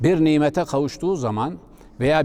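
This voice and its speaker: Intonation here is lively. A dark, mellow tone colors the voice. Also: man. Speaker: Islamic preacher. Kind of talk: religious talk.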